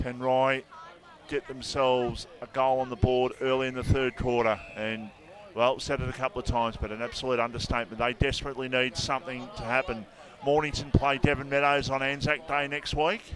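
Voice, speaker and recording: Fairly quick speech from a man with an Australian accent, fairly even intonation and noticeable background noise. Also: medium pitch for a man. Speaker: football commentator. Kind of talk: live commentary. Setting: radio broadcast at football ground. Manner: loud.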